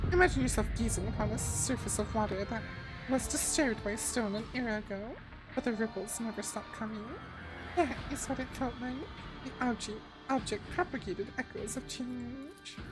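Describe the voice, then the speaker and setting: A woman performs a squeaky, put-on character voice at a fairly high pitch and fairly quick pace over loud music in the background. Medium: game stream. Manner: precise, technical.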